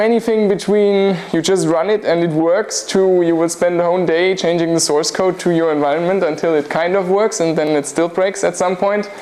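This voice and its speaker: A high-pitched male voice with fairly even intonation, plus noticeable background noise and audible room echo. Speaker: university lecturer. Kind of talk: lecture. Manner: fast.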